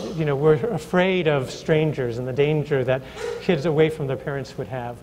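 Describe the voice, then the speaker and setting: A man with an American accent, fairly high in pitch, at a moderate pace with ordinary pitch variation, amid noticeable background noise. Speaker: early childhood education professor. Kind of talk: panel discussion. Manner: halting, many fillers and repetitions.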